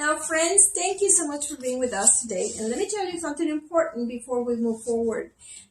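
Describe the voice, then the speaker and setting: A woman's high pitch with very wide pitch swings, over noticeable background noise. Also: fairly quick pace. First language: Spanish. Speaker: co-host of spiritual talk show. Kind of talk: talk show discussion.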